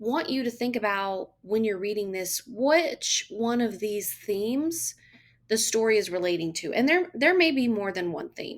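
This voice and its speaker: A woman with a Southern US accent speaks fairly slowly at a fairly high pitch, her voice making very wide pitch swings. The recording is very clean, with a silent background. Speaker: teacher. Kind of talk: classroom talk to students.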